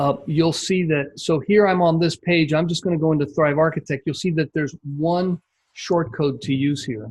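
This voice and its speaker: Against a quiet background, a man with an ordinary speaking voice talks at a moderate pace, his fairly high pitch held in fairly even intonation. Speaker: membership site coach. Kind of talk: screen-share tutorial on a coaching call.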